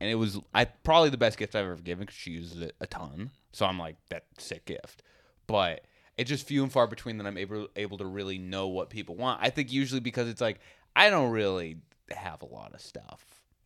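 In a very clean recording with a silent background, a man with a normal speaking voice talks at a fairly quick pace, his fairly low pitch showing ordinary variation while his loudness swings widely. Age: 20s. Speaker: comedian and podcast co-host. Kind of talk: casual chat.

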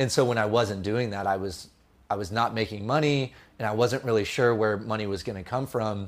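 A man speaks in a Californian accent at a fairly low pitch. His intonation stays fairly even. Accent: Californian American. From California, San Jose. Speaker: filmmaker. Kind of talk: podcast interview.

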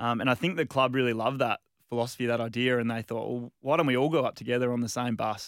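Recorded very cleanly against a silent background, with a dry, close sound and no echo, a man with an Australian accent speaks very fast at a medium pitch with fairly even intonation. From Western Australia, Margaret River. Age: 30s. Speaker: field hockey player, national team captain. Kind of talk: interview. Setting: studio.

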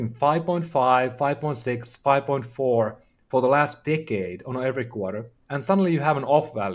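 The pace is moderate, and the intonation is lively. The speaker has a Finnish accent. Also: man. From Finland. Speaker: health tech company founder. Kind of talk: interview. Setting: video call.

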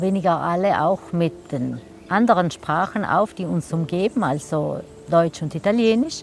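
The speaker has a South Tyrolean accent and talks at a fairly slow pace. Background noise is noticeable. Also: woman. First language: Ladin (speaking German). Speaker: translator and magazine editor. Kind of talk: interview. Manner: hesitant, with frequent fillers.

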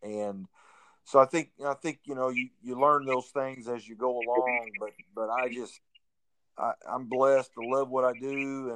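A man with an American accent speaks in a normal speaking voice at medium pitch and a moderate pace, his intonation fairly even, in a dry, close sound with no echo. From Missouri, Springfield. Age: 50s. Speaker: high school basketball coach. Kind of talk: interview. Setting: phone call.

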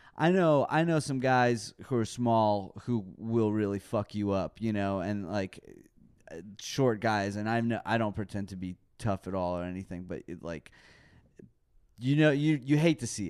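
In an American accent, a man with an ordinary speaking voice talks at a fairly low pitch and a moderate pace over a quiet background. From Texas, Dallas. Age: 30s. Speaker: metal band musician. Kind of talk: casual chat. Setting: studio.

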